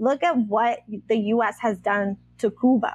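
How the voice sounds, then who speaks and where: A woman's voice sits at a fairly high pitch with ordinary pitch variation. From Puerto Rico. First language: Spanish. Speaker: activist and decolonial educator. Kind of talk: casual interview conversation. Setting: video call.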